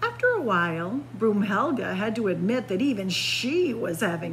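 The words come out in an unforced reading voice.

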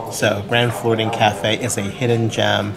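Music plays in the background while this man speaks with ordinary pitch variation. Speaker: food vlogger. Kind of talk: casual vlog review. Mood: enthusiastic, pleased. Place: cafe. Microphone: phone near.

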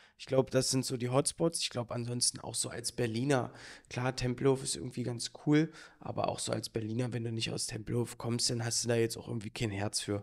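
A man's medium-pitched voice, fairly even in intonation, at a fairly quick pace. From Berlin. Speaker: podcast host. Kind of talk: casual chat. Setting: office studio.

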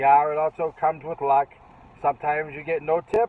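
Delivered at a fairly quick pace with fairly even intonation, the voice has a dry sound with no echo. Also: man. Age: 40s. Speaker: food delivery driver. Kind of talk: casual vlog talk to camera. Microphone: phone near.

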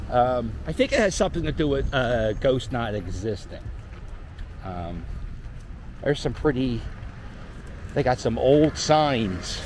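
A man with a Philadelphia accent, fairly slow and lively in intonation, with long, frequent pauses, light background noise and a dry sound free of echo. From Philadelphia (Port Richmond). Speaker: YouTuber / street vlogger. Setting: outdoors, walking a dog. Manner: rambling, filler-heavy (um, uh), self-correcting. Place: street. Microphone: phone near.

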